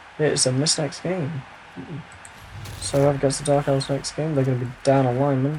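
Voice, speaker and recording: Noticeable background noise sits behind a man's voice. He speaks at a medium pitch in a monotone, flat way. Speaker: game commentator. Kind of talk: video game match commentary. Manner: casual, humorous.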